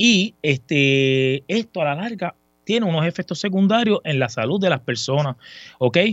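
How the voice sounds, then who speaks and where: Music plays behind a man who speaks at a fairly high pitch with lively intonation. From Puerto Rico. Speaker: sports section supervisor. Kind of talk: casual chat.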